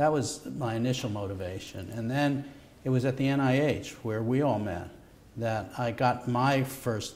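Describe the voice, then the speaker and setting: With an American accent, a man speaks at a moderate pace and with ordinary pitch variation. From New York, Brooklyn. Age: 60s. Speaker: Nobel laureate medical scientist. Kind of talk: conversational interview. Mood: relaxed, warmly anecdotal. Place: studio.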